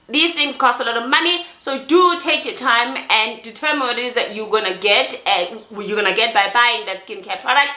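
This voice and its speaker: A woman's high voice, fairly quick and lively, with noticeable background noise and audible room echo. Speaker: skincare vlogger. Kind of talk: product review vlog. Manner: repetitive false starts.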